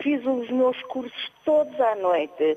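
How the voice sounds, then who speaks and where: A woman at a very slow pace with very wide pitch swings, over noticeable background noise. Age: 70s. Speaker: retiree caller. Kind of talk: phone-in opinion. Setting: phone call.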